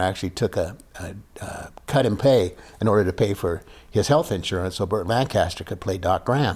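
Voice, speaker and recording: A fairly low, somewhat breathy male voice with an American accent, a moderate pace and ordinary pitch variation. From US West, small prairie town near Denver. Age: 70s. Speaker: actor and author. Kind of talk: casual interview storytelling. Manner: halting, many repeated words and fillers.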